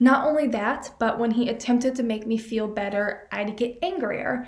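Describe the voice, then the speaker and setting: With ordinary pitch variation and audible room echo, a woman speaks in an animated tone at a fairly high pitch. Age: 20s. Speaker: student podcaster. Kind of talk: solo advice podcast.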